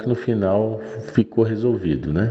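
A man speaks over noticeable background noise. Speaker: listener sharing a story. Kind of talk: voice message storytelling.

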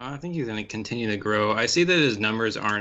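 A man's medium-pitched, plain, everyday voice at a fairly quick pace with lively intonation. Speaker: podcast co-host. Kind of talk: casual chat.

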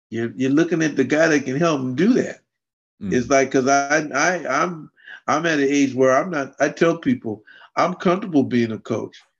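This man speaks at a moderate pace in an ordinary speaking voice, fairly high in pitch, with ordinary pitch variation against a quiet background. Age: 50s. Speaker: adaptive fitness and martial arts coach. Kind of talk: interview.

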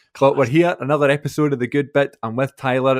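A man with a Scottish accent, fairly high-pitched, talking very fast with fairly even intonation. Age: 20s. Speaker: podcast host. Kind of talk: casual chat.

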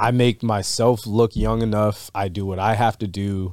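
A man speaks in a plain, everyday voice at a fairly low pitch. The recording is very clean, with a silent background. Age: 30s. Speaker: bartender and podcast co-host. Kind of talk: casual chat. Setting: studio.

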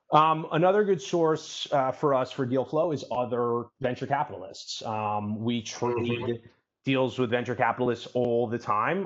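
An unremarkable speaking voice from a man of medium pitch, at a fairly slow pace. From New York City. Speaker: venture capital investor. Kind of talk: interview.

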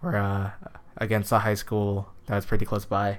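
A man with a plain, everyday voice talks at a moderate pace, with an American accent. His pitch is fairly low and his intonation fairly even. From California. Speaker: podcast co-host. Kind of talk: casual chat.

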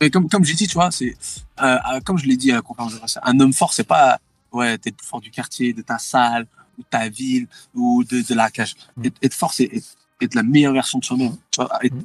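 Long, frequent pauses break up a man's fairly quick speech at medium pitch, with ordinary pitch variation, big swings in loudness, and a dry, close sound with no echo. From Thailand. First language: Thai (speaking French). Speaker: MMA fighter. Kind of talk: interview. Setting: in a car on the road. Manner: halting.

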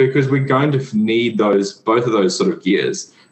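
Over noticeable background noise, a man speaks at a moderate pace with an Australian accent. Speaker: physiotherapist and breathwork instructor. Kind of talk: casual interview.

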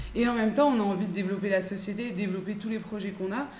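Someone speaks at a fairly quick pace amid audible room echo and noticeable background noise. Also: woman. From France. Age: 30s. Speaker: entrepreneur. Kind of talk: casual chat.

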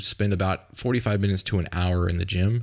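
A man speaks in a normal speaking voice at a fairly low pitch with ordinary pitch variation. The recording is very clean, with a silent background. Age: 30s. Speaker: fitness coach and podcast host. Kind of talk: solo podcast monologue. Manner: casual, conversational with fillers.

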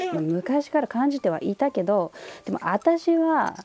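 Very slowly, a woman speaks with very wide pitch swings, the sound dry and close with no echo. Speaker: podcast host. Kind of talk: casual chat.

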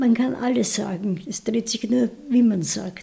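A woman's fairly high voice with a Viennese accent, at a very slow pace. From Vienna, Austria. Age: 90s. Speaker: retired primary school teacher. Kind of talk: life story interview.

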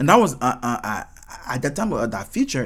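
Lively intonation marks this speech. It carries a non-native accent. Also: man. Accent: noticeable foreign. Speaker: podcast host and singer. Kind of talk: casual solo talk. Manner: halting with repeated words.

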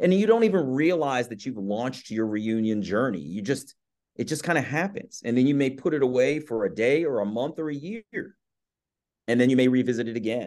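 A man speaks with a plain, everyday voice at a medium pitch. He moves at a fairly quick pace with lively intonation. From Maryland, US. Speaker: podcast host and author, adult adoptee. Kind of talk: interview conversation.

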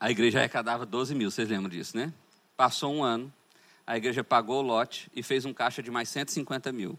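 A man talks at a fairly quick pace with a medium pitch. The recording is very clean with a silent background. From Brazil, Goiás. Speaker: pastor. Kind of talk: conference sermon. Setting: church conference with audience.

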